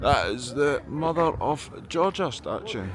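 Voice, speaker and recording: Audible room echo and noticeable background noise surround a man with a Scottish accent. His pitch variation is ordinary. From Scotland. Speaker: travel vlogger. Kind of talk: travel vlog narration. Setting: outdoors. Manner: animated.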